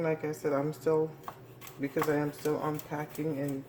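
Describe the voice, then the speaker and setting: A woman speaks quietly at a very deep, low pitch. Noticeable background noise is present. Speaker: home cooking channel host. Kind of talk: cooking tutorial. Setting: home kitchen. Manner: speaking quietly; casual, with fillers.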